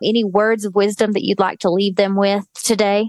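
Recorded with a dry, close sound and no echo, a woman speaks. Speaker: podcast host. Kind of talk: interview, casual chat.

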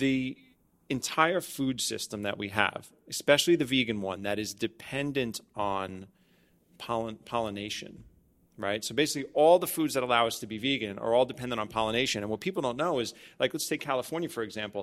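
A man with an American accent has a plain, everyday voice at a medium pitch, with ordinary pitch variation. He speaks at a fairly quick pace in a very clean recording with a silent background. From Staten Island, New York. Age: 40s. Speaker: podcast host and wellness studio owner. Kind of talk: casual chat. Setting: studio.

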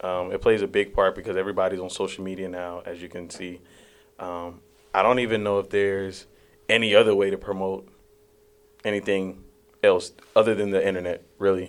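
Over a very clean recording with a silent background, a man speaks at a fairly quick pace and fairly low pitch with monotone, flat intonation, long, frequent pauses and big swings in loudness. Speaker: student radio host and podcaster. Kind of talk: casual interview.

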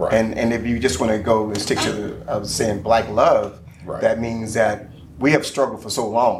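Speaking at a moderate pace, a man talks with an American accent. The room echo is audible and there is noticeable background noise. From military family, Kentucky and Virginia. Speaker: life coach and entrepreneur. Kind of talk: casual chat.

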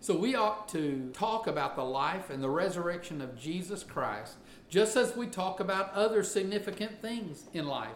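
A man with a Southern US accent talks with very wide pitch swings. There is noticeable background noise and audible room echo. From US South. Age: 50s. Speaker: pastor. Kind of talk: sermon.

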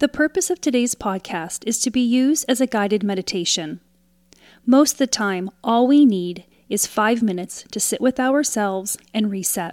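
A woman with a plain, everyday voice and a fairly high pitch is heard on a very clean, dry, close recording with a silent background and no echo. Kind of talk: guided meditation. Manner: calm, slow, soothing, with pauses between prompts; gently instructive, inviting.

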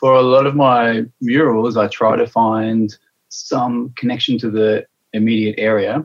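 A man with an Australian accent, medium pitch and monotone, flat intonation. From Adelaide, South Australia. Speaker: mural artist. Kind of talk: interview. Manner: hesitant, with fillers.

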